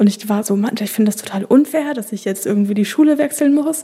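Noticeable background noise surrounds a woman whose fairly high voice shifts in pitch in an ordinary way. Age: 20s. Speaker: social work student. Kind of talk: casual chat. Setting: studio.

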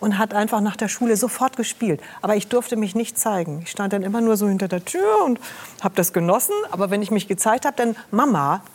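At a fairly quick pace, a woman talks with a medium pitch and ordinary pitch variation over noticeable background noise. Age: 60s. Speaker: TV health show presenter. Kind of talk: talk show conversation.

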